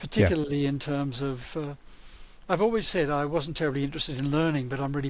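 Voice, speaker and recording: The talking races along at a very fast pace in an Australian accent. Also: man. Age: 70s. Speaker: learning and development consultant. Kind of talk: podcast interview.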